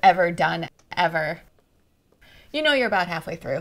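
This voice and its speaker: Over noticeable background noise, a woman speaks at a fairly slow pace in a fairly low pitch, with ordinary pitch variation. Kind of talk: interview answer. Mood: warm, reflective. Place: workshop. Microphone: lapel.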